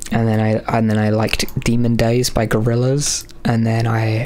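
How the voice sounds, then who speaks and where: A man's medium-pitched voice comes with noticeable noise behind it and some audible echo from the room. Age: 20s. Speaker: streamer and artist. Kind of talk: live stream chat. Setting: live stream. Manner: halting.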